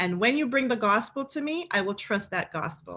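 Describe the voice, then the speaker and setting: With a Caribbean accent, a woman speaks at a moderate pace in a bright, sharp tone with lively intonation, on a very clean recording with a silent background. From Caribbean, St. Lucia. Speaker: pastor. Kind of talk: panel discussion. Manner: impassioned.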